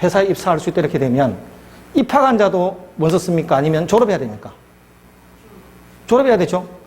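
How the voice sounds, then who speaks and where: With a Gyeongsang accent, a man speaks with lively intonation. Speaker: law lecturer. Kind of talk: lecture.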